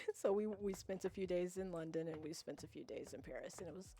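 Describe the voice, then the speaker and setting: Dark, mellow tone from a woman. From USA. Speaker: video game streamer. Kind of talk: casual chat. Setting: live stream.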